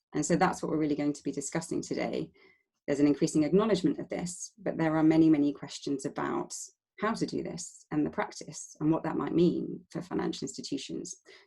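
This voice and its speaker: A woman talks at a very fast pace in a London accent. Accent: London-sounding English. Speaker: webinar moderator. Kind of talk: online panel moderation. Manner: hesitant, many fillers.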